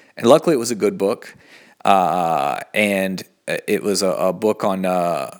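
In a very clean recording with a silent background, a man with an American accent speaks with ordinary pitch variation. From US South, Asheville, North Carolina. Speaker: podcast host, meditation practitioner. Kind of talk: casual solo monologue. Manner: halting, many fillers; off the cuff.

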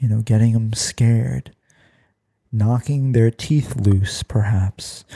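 A man's medium-pitched, dark, mellow and somewhat breathy voice in a soothing, deadpan tone, fairly even intonation and a very slow pace, with a dry, close sound and no echo. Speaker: podcast host. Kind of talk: guided meditation parody, ASMR-style. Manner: soft-spoken, soothing, slow; deadpan, absurd calm delivery.

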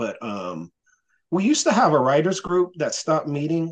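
He has an unremarkable speaking voice. The man's intonation is lively and his tempo moderate. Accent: American. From North Carolina. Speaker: stand-up comedian and jiu-jitsu coach. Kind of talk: casual interview chat.

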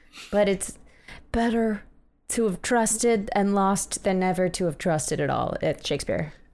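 A woman with a plain, everyday voice speaks at a moderate pace, her medium pitch showing ordinary pitch variation. Loudness stays very even on a very clean recording with a silent background. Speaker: podcast host. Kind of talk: casual chat. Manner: joking, playful.

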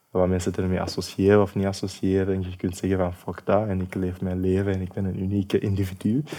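Very fast and with hardly any pauses, a man speaks in a very deep, low pitch with monotone, flat intonation. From Sierra Leone, then Belgium from age 12. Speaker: social worker and activist. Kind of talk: interview conversation.

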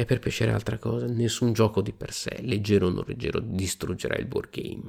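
A man speaks at a fairly quick pace in a fairly low pitch, with vocal fry and a dark, mellow tone. The recording is very clean, with a silent background. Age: 40s. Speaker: wargaming podcast host. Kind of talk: solo podcast monologue. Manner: animated.

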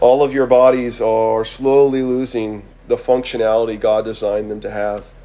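In a room with audible echo, a man talks at a moderate pace with a medium pitch and a monotone, flat intonation. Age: 20s. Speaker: preacher. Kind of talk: sermon.

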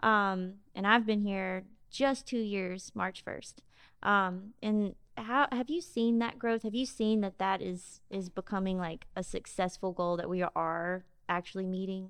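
Against a quiet background, a woman with a Mississippi accent talks at a fairly slow pace and medium pitch, her intonation fairly even. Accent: Southern US, Mississippi. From Jackson, Mississippi. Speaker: podcast co-host. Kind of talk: casual podcast interview.

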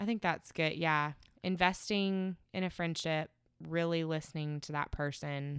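Here a woman speaks at a fairly low pitch and a fairly slow pace. Her intonation stays fairly even. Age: 20s. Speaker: podcast guest, host's longtime friend. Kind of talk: casual chat. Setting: at the beach.

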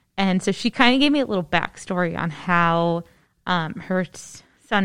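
On a very clean recording with a silent background, a woman speaks in a normal speaking voice. Her pitch is medium and her intonation lively. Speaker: podcast host, librarian. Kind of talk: casual chat. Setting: studio.

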